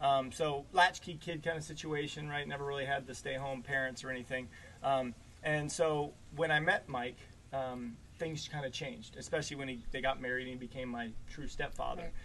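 This is a normal speaking voice at a fairly quick pace. The intonation stays fairly even. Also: man, fairly high pitch for a man. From Maryland, US East Coast. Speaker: podcast host being interviewed. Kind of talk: casual interview over whiskey.

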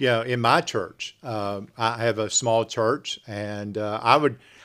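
With an American accent, the speaker keeps a moderate pace on a very clean recording with a silent background. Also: man. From West Virginia (Salt Rock). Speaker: pastor and podcast host. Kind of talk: conversational religious podcast talk. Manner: halting, many fillers.

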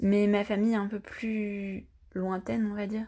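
In a dark, mellow tone, a woman at medium pitch speaks with monotone, flat intonation. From France, with childhood stays in Brazil. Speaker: podcast guest sharing personal story. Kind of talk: personal testimony.

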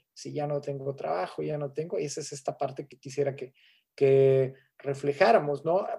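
Somewhat breathy and dark, mellow in tone, a man's fairly high voice moves at a moderate pace with fairly even intonation and big swings in loudness. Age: 30s. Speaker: gerontologist. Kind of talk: lecture. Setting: webinar.

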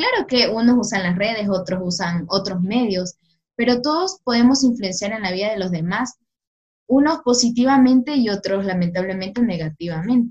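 The speaker has a coastal Ecuadorian accent and a somewhat breathy voice. The pace is moderate. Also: woman, fairly high pitch for a woman. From Ecuador, Guayaquil (south). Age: 20s. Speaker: law student and youth ministry worker. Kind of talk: faith podcast interview and testimony.

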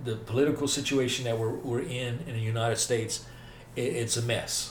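A man's somewhat breathy voice at medium pitch, with fairly even intonation and a moderate pace. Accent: Southern US. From US South, north Mississippi. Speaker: faith podcast host. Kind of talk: casual interview about faith.

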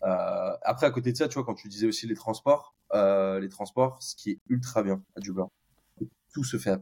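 A man with a normal speaking voice talks at a medium pitch and moderate pace, with ordinary pitch variation and big swings in loudness, in a dry, close sound with no echo. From France, Bordeaux. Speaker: tech employee, expat. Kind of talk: casual interview.

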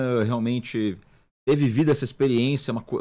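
Here is a man with a normal speaking voice at medium pitch. His pitch shows ordinary variation. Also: very clean recording, silent background. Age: 20s. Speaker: chef and restaurant owner. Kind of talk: casual interview chat.

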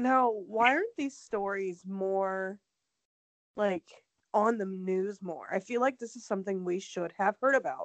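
With an American accent, a woman speaks in a plain, everyday voice at a fairly slow pace, with medium pitch and ordinary pitch variation. The sound is dry and close with no echo, and the background is quiet. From Ohio. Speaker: true crime podcast co-host. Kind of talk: casual chat.

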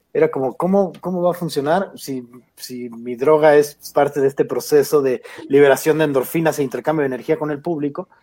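Fairly quick and fairly high in pitch, a man with a Mexican accent speaks in a dark, mellow tone with ordinary pitch variation. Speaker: stand-up comedian. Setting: video call. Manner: animated, jokey, playful.

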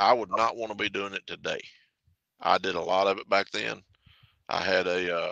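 With a Southern US accent, a man speaks at a fairly low pitch in a bright, sharp tone. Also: dry, close sound with no echo. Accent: Southern US (Georgia). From Atlanta, Georgia, US South. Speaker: truck driver and charity fundraiser. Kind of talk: casual interview.

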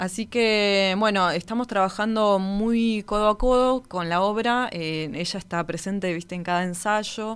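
In a very clean recording with a silent background, a woman uses a normal speaking voice at medium pitch, speaking at a fairly slow pace with ordinary pitch variation and hardly any pauses. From Argentina, Patagonia (Río Gallegos). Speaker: orchestra conductor. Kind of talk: interview conversation.

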